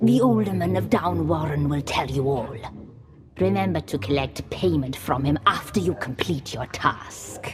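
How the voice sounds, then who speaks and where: Over music in the background, a put-on character voice speaks at a moderate pace in a low-to-middle pitch. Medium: video game.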